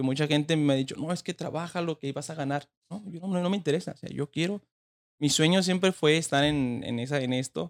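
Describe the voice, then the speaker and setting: Recorded dry and close with no echo, a man talks at a fairly quick pace in a plain, everyday voice, fairly high in pitch with ordinary pitch variation. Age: 20s. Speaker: boxing trainer. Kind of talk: interview.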